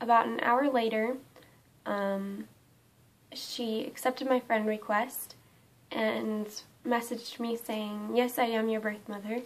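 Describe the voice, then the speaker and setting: A woman speaks fairly slowly in a fairly high pitch, her intonation monotone and flat. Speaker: vlogger. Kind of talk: personal vlog storytelling. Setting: home, camera propped on window. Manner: hesitant, many fillers.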